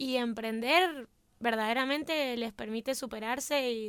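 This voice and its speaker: A woman speaks with a high pitch. The recording is very clean, with a silent background. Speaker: university student, podcast co-host. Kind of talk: casual podcast chat.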